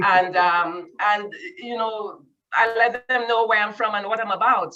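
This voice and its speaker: Bright, sharp tone from a woman in a Caribbean accent, medium pitch, ordinary pitch variation, moderate pace. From Saint Lucia. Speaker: community group participant. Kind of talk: casual chat.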